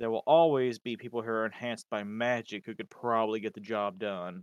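A man speaks quickly in a normal speaking voice at a medium pitch, with a dry, close sound and no echo. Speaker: podcast host reading a lore summary. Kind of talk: casual chat, reading lore aloud.

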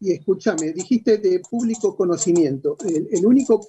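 High-pitched and lively in intonation, a man is speaking. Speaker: boxing journalist. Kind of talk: radio interview.

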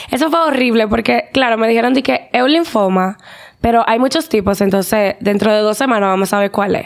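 Fairly high in pitch, a woman's plain, everyday voice moves at a fairly quick pace with lively intonation. Her loudness stays very even. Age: 20s. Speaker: teacher and psychology student, cancer survivor. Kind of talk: testimony.

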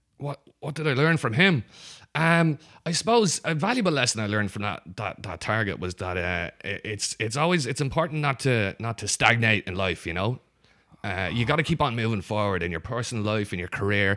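On a very clean recording with a silent background, a man with a Dublin accent speaks fairly quickly at a medium pitch, with very wide pitch swings and a bright, sharp tone. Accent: Dublin Irish. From Dublin, Ireland. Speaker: improv comedian. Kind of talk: casual chat.

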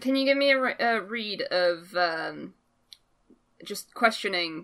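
A woman with a bright, sharp tone speaks with lively intonation on a very clean recording with a silent background. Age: 20s. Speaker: gaming podcast co-host. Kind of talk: casual chat.

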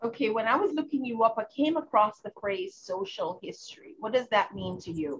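Somewhat breathy and fairly high-pitched, a woman talks at a fairly quick pace, with very wide pitch swings and big swings in loudness. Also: hardly any pauses. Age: middle-aged. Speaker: interview host. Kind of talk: interview; promotional intro.

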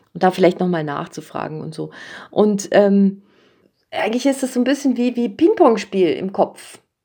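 Her dark, mellow, medium-pitched voice moves at a moderate pace as the woman speaks with lively intonation. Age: 50s. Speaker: children's and young adult author. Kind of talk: casual interview.

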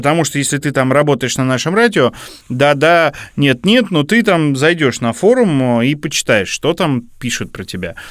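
In a very clean recording with a silent background, a man with an ordinary speaking voice talks at a moderate pace, his pitch fairly high and his intonation lively. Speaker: radio program director, co-host. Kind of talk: casual chat.

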